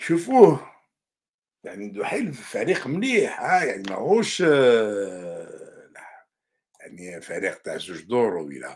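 Against a quiet background, a man with an Algerian accent speaks at a very slow pace with big swings in loudness. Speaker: journalist and commentator; journalist, commentator. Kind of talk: news commentary monologue. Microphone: webcam.

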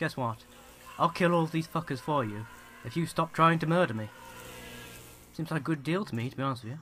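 A bright, sharp tone comes through in a British accent at a fairly quick pace. Long, frequent pauses break up speech with ordinary pitch variation. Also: man, fairly high pitch for a man. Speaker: gaming commentator. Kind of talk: let's play commentary. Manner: casual.

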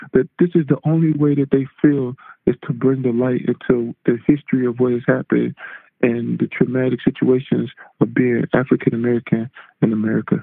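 Music plays in the background as a man speaks at a medium pitch. His pace is fairly quick and his intonation fairly even. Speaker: former NFL defensive end. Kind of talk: interview answer. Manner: soft-spoken.

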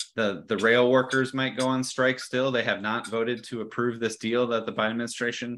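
A man speaks in a monotone, flat intonation. His pace is fairly quick, with hardly any pauses. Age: 40s. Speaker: geography professor and author; geography professor. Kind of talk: lecture. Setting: video call. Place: home room. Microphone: earbuds.

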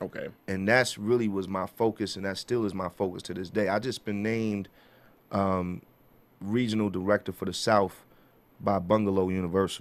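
A man with a New York accent speaks at a moderate pace in a fairly low pitch, his intonation monotone and flat. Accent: New York (Bronx). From New York City, the Bronx. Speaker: music executive and artist manager; interview guest. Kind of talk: interview. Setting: studio. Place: studio. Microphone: studio mic.

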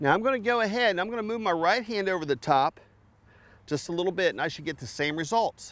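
A man speaks fast at a high pitch with ordinary pitch variation. His tone is fairly bright.

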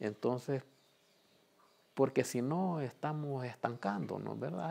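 A man, with ordinary pitch variation and a moderate pace, talks over a quiet background. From El Salvador, Chalatenango; El Salvador. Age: 60s. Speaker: community organizer. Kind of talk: testimony. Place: home room.

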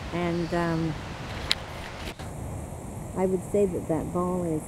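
A woman speaks slowly at a fairly low pitch. Clear background noise runs behind her.

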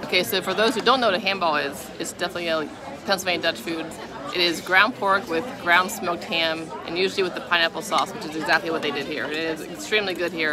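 Crowd noise fills the background as a woman speaks very fast. Her pitch varies in an ordinary way, and the sound is dry with no echo. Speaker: food vlogger. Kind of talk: casual food review vlog chat. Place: cafe. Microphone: phone near.

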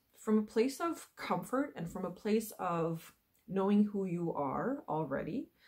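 At a moderate pace, a woman speaks in a dark, mellow, somewhat breathy tone against a quiet background. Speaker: wellness coach. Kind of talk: casual vlog chat. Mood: calm, earnest. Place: home room. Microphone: webcam.

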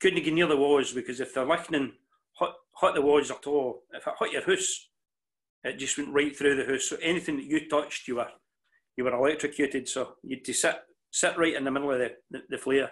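A man speaks quickly in a Scottish accent with fairly even intonation. The background is quiet. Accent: Ayrshire Scots. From Scotland, New Cumnock, Ayrshire; Scotland. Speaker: mental health worker and club speaker; interviewee. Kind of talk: interview. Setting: video call. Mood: warm, reminiscing. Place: home room. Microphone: video call.

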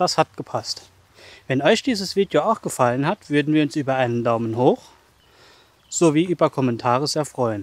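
Recorded dry with no echo, a man speaks at a moderate pace with lively intonation. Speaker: hiking vlogger. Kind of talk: casual vlog chat. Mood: content, upbeat. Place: forest. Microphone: phone near.

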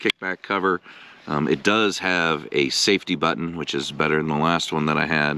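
With ordinary pitch variation and a moderate pace, a man talks in a dry sound with no echo while light background noise runs underneath. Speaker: product reviewer. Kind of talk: casual product review. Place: open country. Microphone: phone near.

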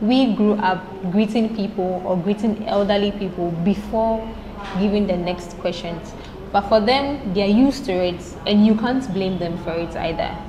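A woman's medium-pitched voice at a moderate pace, with ordinary pitch variation and noticeable background noise. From Ghana. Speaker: law student. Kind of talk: casual chat. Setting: studio. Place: cafe. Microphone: lapel.

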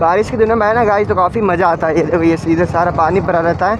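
Fast, high-pitched speech from a man, with fairly even intonation over clear background noise

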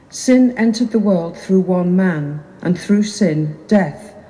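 A woman speaks in a plain, everyday voice at a fairly slow pace. Her pitch is fairly low, with ordinary variation. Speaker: lector reading scripture. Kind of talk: reading scripture aloud. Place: church. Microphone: camera far.

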